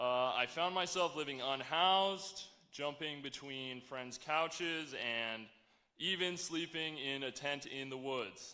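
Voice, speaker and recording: A man with an American accent and a fairly high pitch speaks at a fairly slow pace in a bright, sharp tone, with audible room echo. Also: ordinary pitch variation. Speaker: graduating student speaker. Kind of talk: commencement speech. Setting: stage with audience.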